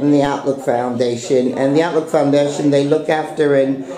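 Light background noise can be heard. The room echo is audible too. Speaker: vlogger. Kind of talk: casual vlog chat. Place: home room. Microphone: phone near.

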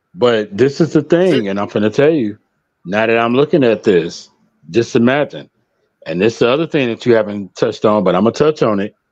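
With an American accent and a normal speaking voice, a man talks at a medium pitch and a fairly quick pace with lively intonation against a quiet background. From Chicago. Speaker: guest panelist; guest. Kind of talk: casual panel discussion. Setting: video call livestream. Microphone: video call.

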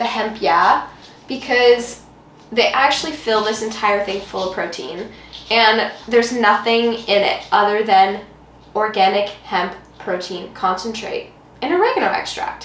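Audible room echo carries the voice of a woman who speaks at a fairly slow pace with ordinary pitch variation. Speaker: cooking vlogger. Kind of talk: casual vlog chat. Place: kitchen. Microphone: camera far.

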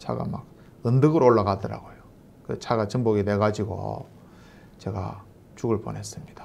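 A man at a fairly low pitch and moderate pace, with ordinary pitch variation, big swings in loudness, long, frequent pauses and light background noise. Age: 50s. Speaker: missionary; pastor. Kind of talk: testimony. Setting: online church meeting. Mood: earnest, warm. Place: home room.

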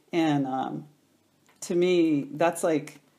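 At a very slow pace, a woman with an American accent speaks in a very deep, low pitch with ordinary pitch variation. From New York City. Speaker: yoga studio owner and teacher. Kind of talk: interview. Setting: at her home. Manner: clear, proper diction.

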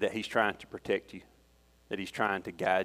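Speaking with a Southern US accent, a man has a very deep, low pitch. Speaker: lay preacher and youth leader. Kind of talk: sermon. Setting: church.

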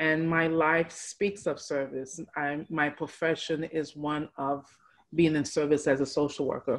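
A woman's very deep, low voice at a fairly slow pace, monotone and flat in intonation, over a quiet background. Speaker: social worker. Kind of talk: casual interview chat. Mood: earnest, reflective. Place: home room. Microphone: video call.

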